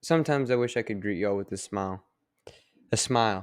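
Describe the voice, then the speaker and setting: A man mumbles at a fairly low pitch, recorded very cleanly against a silent background. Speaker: podcast host. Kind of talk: casual monologue. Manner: mumbling; halting.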